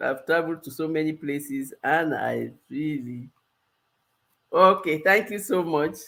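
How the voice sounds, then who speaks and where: With a Cameroonian accent, a woman speaks fairly slowly in a very deep, low pitch with ordinary pitch variation. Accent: Cameroonian accent, noticeable. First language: multilingual background, French and local languages. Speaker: life coach. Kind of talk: live stream Q&A.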